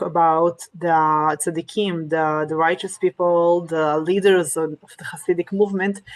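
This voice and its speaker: A woman with a non-native accent and a fairly low pitch speaks at a fairly slow pace with fairly even intonation and hardly any pauses, in a dry, close sound with no echo. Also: big swings in loudness. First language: Hebrew and Russian. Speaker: Torah teacher. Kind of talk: lecture. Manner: halting, many fillers.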